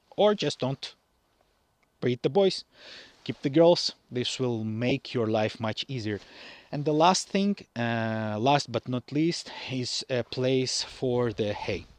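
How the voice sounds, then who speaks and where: A man talks at a very slow pace in a non-native accent, his pitch medium. His intonation is lively, and the sound is dry and close with no echo. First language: not English. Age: young. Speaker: farmer. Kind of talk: tutorial. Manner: halting.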